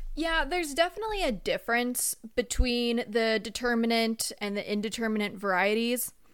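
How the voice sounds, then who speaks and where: A woman with a plain, everyday voice speaks at a moderate pace with hardly any pauses. Her pitch is fairly high, and her intonation is lively. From Southern California. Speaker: agricultural researcher, doctoral student. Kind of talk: interview, expert explanation.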